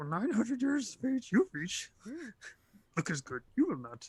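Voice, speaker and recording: In a put-on character voice with fairly high pitch, the speaker swings very widely in pitch at a moderate pace. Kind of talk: inverted syntax.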